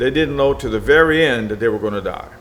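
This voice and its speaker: There is noticeable background noise and audible room echo. A man speaks with ordinary pitch variation. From Venezuela, then US Gulf Coast. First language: Spanish. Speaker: military veteran and businessman. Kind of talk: interview. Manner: opinionated, emphatic.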